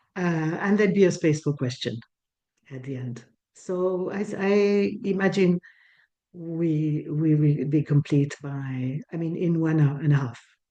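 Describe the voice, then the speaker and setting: The voice has a dark, mellow tone and ordinary pitch variation. It moves at a fairly slow pace with a Swiss French accent. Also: woman, very deep, low pitch for a woman. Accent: French-Swiss accent, noticeable. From French-speaking Switzerland. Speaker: breathwork teacher. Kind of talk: online talk. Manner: halting, with many restarts.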